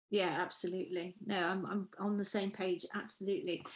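Her speech is fairly slow. She has a British accent. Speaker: podcast host and speaking coach. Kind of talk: podcast intro and interview.

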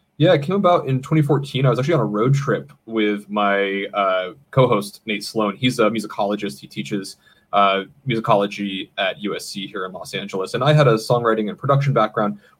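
Lively intonation from a man with an ordinary speaking voice, pitched medium and moving at a fairly quick pace. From Maine, US. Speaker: podcast producer and guest. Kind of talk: casual chat. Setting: home studio.

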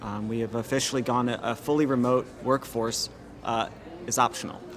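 A man with an American accent, a normal speaking voice, medium in pitch. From Washington, D.C. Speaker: digital marketing agency director. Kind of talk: interview. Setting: restaurant.

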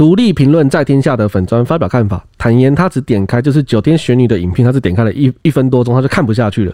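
A man's very fast delivery with hardly any pauses, a dark, mellow tone and very even loudness. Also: medium pitch for a man. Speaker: podcast co-host. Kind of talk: casual discussion.

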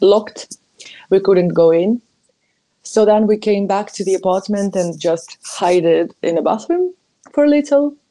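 In a Ukrainian accent, a woman talks at a moderate pace with a medium pitch and a dark, mellow tone. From Ukraine, Kyiv. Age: 20s. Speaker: journalist. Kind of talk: personal testimony.

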